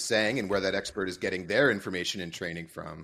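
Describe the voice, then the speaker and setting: Against a quiet background, a man with a fairly low pitch talks at a very fast pace. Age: 40s. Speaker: sales executive at a permaculture company. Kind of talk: podcast interview. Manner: animated.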